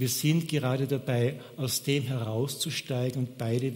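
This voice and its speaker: Monotone, flat delivery at a fairly slow pace. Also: man. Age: 60s. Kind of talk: sermon.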